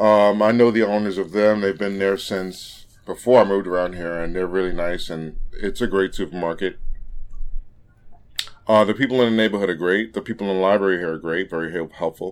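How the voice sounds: This man has a fairly low voice, ordinary pitch variation and a moderate pace.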